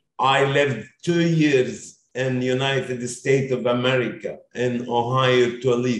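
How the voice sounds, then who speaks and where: The speaker uses a normal speaking voice with fairly even intonation. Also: man, medium pitch for a man. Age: 50s. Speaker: education consultancy founder. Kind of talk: interview. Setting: video call.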